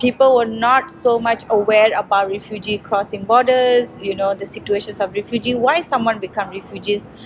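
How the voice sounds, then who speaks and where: There is noticeable background noise as a woman talks at a fairly high pitch. Her intonation is fairly even, with hardly any pauses. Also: moderate pace. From Myanmar, raised in Malaysia. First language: Rohingya / Burmese. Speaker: refugee advocate. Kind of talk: interview. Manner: hesitant, many fillers.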